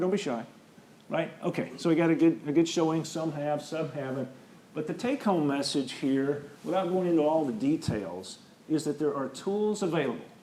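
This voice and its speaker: Pitch moves in an ordinary way in this voice, which carries audible room echo. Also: man. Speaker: structural engineer. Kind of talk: lecture. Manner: fast.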